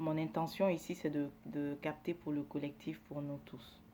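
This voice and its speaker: A dark, mellow tone comes through at a fairly slow pace. The recording is very clean, with a silent background. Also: woman. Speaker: psychic tarot reader. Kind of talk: collective tarot reading. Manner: hesitant, many fillers.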